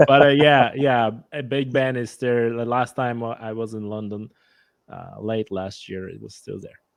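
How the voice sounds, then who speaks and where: A man with a Polish accent speaks at a medium pitch and fairly slow pace. His intonation stays fairly even. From Poland. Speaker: hunter and conservation enthusiast. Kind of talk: casual interview chat.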